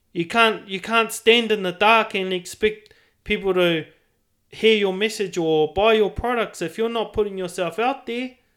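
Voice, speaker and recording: A man talks with a New Zealand accent at a high pitch. His pace is moderate and his intonation fairly even. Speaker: podcast host. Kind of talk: casual chat.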